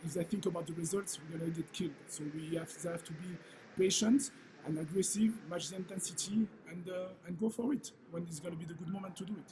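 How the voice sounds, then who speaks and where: At a very fast pace, a man with a high pitch speaks with ordinary pitch variation. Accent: French. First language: French. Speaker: football head coach. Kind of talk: press conference. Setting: press conference. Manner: halting, many fillers.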